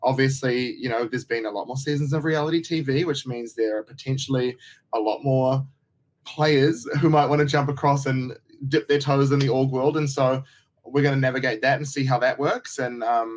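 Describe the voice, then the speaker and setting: A New Zealand accent, fairly even intonation and a moderate pace. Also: man, medium pitch for a man. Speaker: reality TV contestant and online game creator. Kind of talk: casual interview chat. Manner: halting, many false starts.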